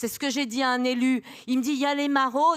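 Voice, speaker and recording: The tone is animated and the pace moderate. The sound is dry and close with no echo. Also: woman. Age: 60s. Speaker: audience member. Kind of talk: audience question, impassioned remarks.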